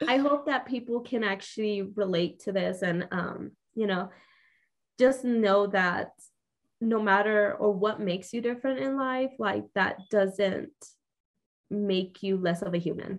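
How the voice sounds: A woman at a medium pitch with a Mexican accent, a fairly slow pace and ordinary pitch variation.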